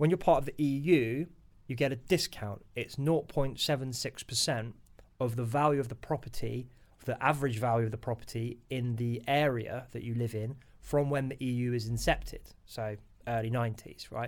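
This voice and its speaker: Someone speaks in a British accent at a fairly quick pace, keeping the intonation fairly even. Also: man, medium pitch for a man. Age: 30s. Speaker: financial advisor. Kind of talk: interview.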